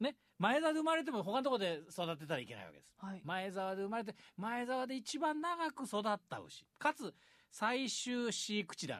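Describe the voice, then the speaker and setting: A man talks at a moderate pace in a high voice. His pitch swings very widely and his loudness shifts in big swings. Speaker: radio announcer. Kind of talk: radio segment, casual presentation. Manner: polite, frequent fillers.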